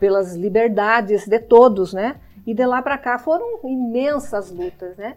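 Here is a woman with a plain, everyday voice and a fairly high pitch. Her pace is fairly slow, and her pitch varies in an ordinary way. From Brazil, Paraná (Irati). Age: 60s. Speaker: lawyer and deputy mayor. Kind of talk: interview.

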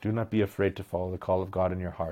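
Recorded very cleanly against a silent background, a man with a Canadian accent speaks in a dark, mellow tone with fairly even intonation. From Alberta, Canada (Medicine Hat). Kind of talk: casual chat. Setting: pub.

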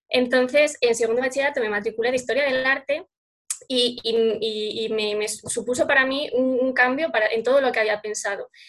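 The voice moves at a moderate pace. Its intonation is fairly even. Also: woman, high pitch for a woman. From Spain, Salamanca. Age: 20s. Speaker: law graduate and illustrator. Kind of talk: interview. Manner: halting, frequent repetitions.

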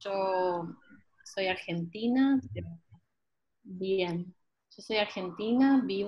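At a very slow pace with long, frequent pauses, a woman speaks in a somewhat breathy, medium-pitched voice with ordinary pitch variation. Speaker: travel writer. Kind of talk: online group discussion. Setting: video call. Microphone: unstable connection.

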